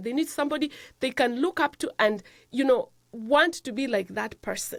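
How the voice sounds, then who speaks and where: With an African accent, a woman talks at a moderate pace in a high pitch, her intonation lively. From Africa, rural village. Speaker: nurse practitioner and health show host. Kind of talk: motivational talk. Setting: studio.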